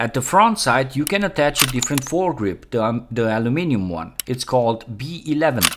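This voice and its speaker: A man's medium-pitched voice with a non-native accent and very wide pitch swings. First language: not English. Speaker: gaming YouTuber. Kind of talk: tutorial.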